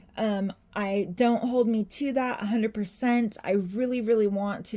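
Her voice has a dark, mellow tone, is somewhat breathy, and keeps a fairly even intonation. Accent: American. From Santa Cruz, California. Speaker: doll artist, reborn doll maker and YouTuber. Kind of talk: casual Q&A video. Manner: filler-heavy, says 'like' and 'um' a lot.

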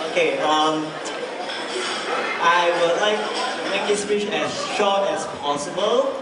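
A man speaks at a very slow pace amid loud background noise and audible room echo. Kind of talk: wedding toast speech. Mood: cheerful, a bit nervous. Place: hall.

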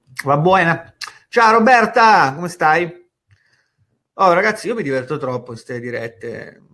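A high-pitched man at a fairly slow pace, very wide pitch swings and long, frequent pauses. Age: 30s. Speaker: online marketing educator. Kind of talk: live stream talk. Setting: live stream from home office. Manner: casual.

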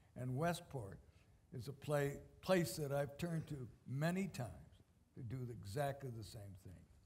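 The voice has a slightly mellow tone, ordinary pitch variation, and a fairly slow pace. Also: man, medium pitch for a man.

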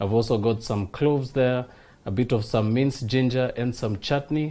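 Dark and mellow in tone, a man's voice moves at a moderate pace with ordinary pitch variation. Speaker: TV cooking show host. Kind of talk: tutorial. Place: studio.

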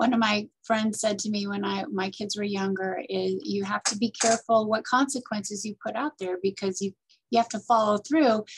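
Amid noticeable background noise, the speaker keeps a moderate pace and fairly even intonation. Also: woman, medium pitch for a woman. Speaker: parenting coach and nonprofit director. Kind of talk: interview. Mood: warm, thoughtful. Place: office. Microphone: webcam.

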